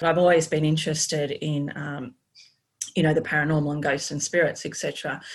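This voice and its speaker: At a moderate pace, the speaker talks with an Australian accent in a monotone, flat intonation. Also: woman, very deep, low pitch for a woman. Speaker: energy healer and former paramedic. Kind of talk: casual interview. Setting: video call.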